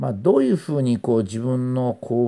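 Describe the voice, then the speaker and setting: A man talks at a moderate pace with a dark, mellow tone. The recording is very clean, with a silent background. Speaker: commentator on philosophy. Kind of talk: philosophical monologue lecture. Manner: measured with frequent fillers.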